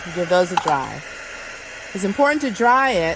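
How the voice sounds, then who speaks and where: Over noticeable background noise, a woman talks at a moderate pace and a medium pitch. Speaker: crafts video maker. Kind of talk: tutorial. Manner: loud.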